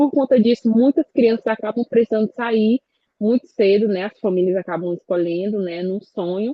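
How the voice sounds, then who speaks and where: A woman speaks with a fairly high pitch at a moderate pace. Her pitch moves with ordinary variation. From Brazil, rural eastern Maranhão (Codó). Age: 20s. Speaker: communicator and quilombola activist. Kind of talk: panel talk at online event. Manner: halting, many self-corrections.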